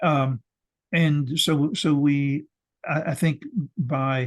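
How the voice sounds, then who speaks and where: A man's fairly high, somewhat breathy voice. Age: 80s+. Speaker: ecologist and professor. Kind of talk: interview. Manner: halting, many repetitions.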